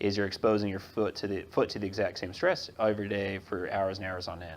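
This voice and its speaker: This is a man speaking at a fairly low pitch. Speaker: podiatrist. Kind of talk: lecture. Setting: audience of nurses, filmed. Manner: fast.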